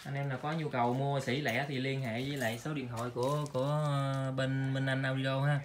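A man talks at a fairly quick pace with a medium pitch. His pitch hardly moves.

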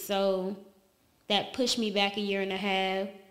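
In a Southern US accent, a woman talks fairly slowly with flat, monotone intonation. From US South (Alabama). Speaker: model and dancer. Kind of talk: casual interview.

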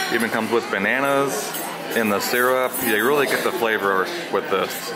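A man speaks at a moderate pace with ordinary pitch variation. Crowd noise can be heard in the background. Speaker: travel vlogger. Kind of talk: casual vlog chat. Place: cafe. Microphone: phone near.

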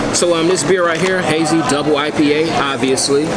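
Loud background noise surrounds a man's voice. He speaks at a moderate pace with ordinary pitch variation. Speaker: beer vlogger. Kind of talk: casual vlog chat. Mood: relaxed, upbeat. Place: bar. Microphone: phone near.

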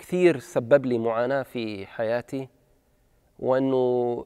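The man talks at a very slow pace. His background is quiet. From Gaza, Palestine (Beit Hanoun); Gaza, Palestine. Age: 30s. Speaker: documentary subject. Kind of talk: personal testimony. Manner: halting. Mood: reflective, serious. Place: stage. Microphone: lapel.

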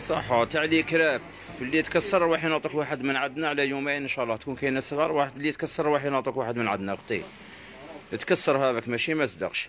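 Someone speaks at a very fast pace over faint music in the background. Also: man, fairly high pitch for a man, ordinary pitch variation. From Algeria. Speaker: shop seller. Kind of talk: live sales stream. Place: shop. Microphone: phone near.

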